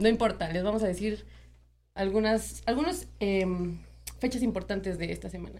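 Audible room echo surrounds a woman speaking. She has a Mexican accent and a moderate pace. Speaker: podcast co-host. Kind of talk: casual chat.

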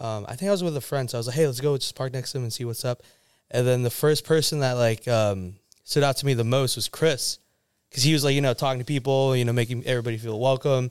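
A man with an American accent speaks at a very fast pace, with medium pitch and ordinary pitch variation. The recording is very clean, with a silent background. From Southern California. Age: 20s. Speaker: car meet organizer. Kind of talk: casual chat. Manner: laughs often.

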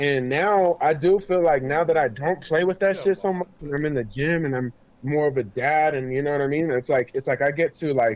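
A man with a fairly high pitch speaks at a moderate pace with ordinary pitch variation, in a plain, everyday voice. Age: 40s. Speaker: musician. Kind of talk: casual chat.

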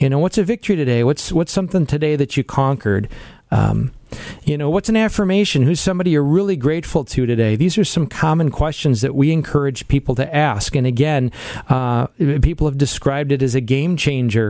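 The speaker has a Midwestern US accent, a dark, mellow tone and lively intonation. The pace is fairly quick and the loudness very even. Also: man. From US Midwest. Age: 40s. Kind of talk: live radio talk show with prayer. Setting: studio.

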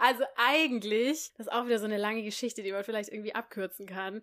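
An unremarkable speaking voice from a woman, fairly high in pitch with fairly even intonation, on a very clean recording with a silent background. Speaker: podcast co-host. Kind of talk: casual chat.

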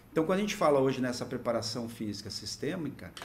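Over audible room echo, a man talks at a very fast pace, his pitch swinging very widely. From western Santa Catarina, Brazil. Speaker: sports scientist and fitness coach. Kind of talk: interview.

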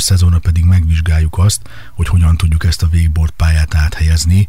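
A man with a very deep, low pitch talks while noticeable background noise carries behind him. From Hungary, Kecskemét. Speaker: sports facility company director. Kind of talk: radio interview. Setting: radio studio.

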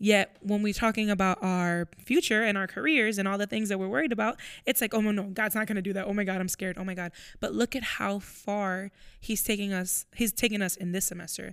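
At a fairly quick pace, a woman with an American accent uses a normal speaking voice at a medium pitch, in a very clean recording with a silent background. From Florida. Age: 20s. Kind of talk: casual faith chat.

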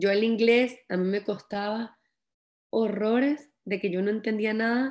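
Against a quiet background, a woman with an unremarkable speaking voice talks fairly slowly in a fairly high pitch. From Venezuela, Valera (Trujillo state). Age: 20s. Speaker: young author. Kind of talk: interview.

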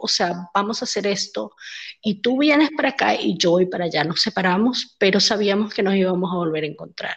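At a moderate pace and with ordinary pitch variation, this is an ordinary speaking voice. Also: woman. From Venezuela, Maracaibo. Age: 40s. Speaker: entrepreneur. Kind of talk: interview.

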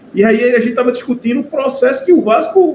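A man is speaking. He goes at a fairly quick pace. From Pernambuco interior, Brazil. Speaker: professor and Santa Cruz fan. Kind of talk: casual interview chat.

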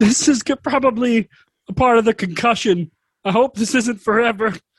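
A female-sounding put-on character voice with a fairly high pitch, delivered at a moderate pace. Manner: frantic, panicky.

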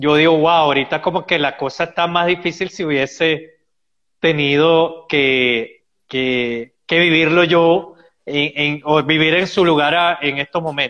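A plain, everyday voice at a fairly slow pace with fairly even intonation. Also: man, fairly high pitch for a man. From Venezuela. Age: 40s. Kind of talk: interview.

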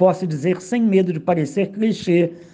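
A man with a Rio de Janeiro accent has a high pitch and a dark, mellow tone. His pitch varies in an ordinary way. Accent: Carioca Brazilian Portuguese. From Rio de Janeiro suburbs, Brazil. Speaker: poet. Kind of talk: recorded autobiographical monologue.

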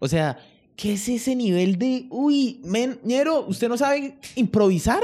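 At a fairly slow pace, the speaker has a dark, mellow tone and lively intonation. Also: man, extremely high pitch for a man. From Colombia. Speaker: podcast host. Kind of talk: casual chat.

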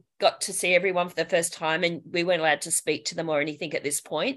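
A woman talks in an Australian accent. The background is quiet. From Australia, Sydney northern beaches. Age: 50s. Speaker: dragon boat paddler, reality TV contestant. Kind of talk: casual interview.

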